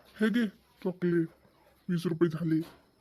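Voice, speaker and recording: A man puts on a cartoonish character voice, high-pitched for a man, with fairly even intonation. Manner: curt, brusque.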